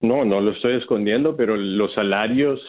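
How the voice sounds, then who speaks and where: Ordinary pitch variation marks a man's fairly low-pitched voice. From Colombia, Bogotá. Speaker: electric utility executive. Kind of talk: radio interview. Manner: halting.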